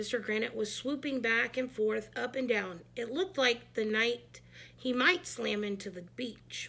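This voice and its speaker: In a put-on character voice, the speaker sounds raspy and keeps a moderate pace. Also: woman, fairly high pitch for a woman. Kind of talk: children's read-aloud. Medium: read story. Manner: lively, expressive.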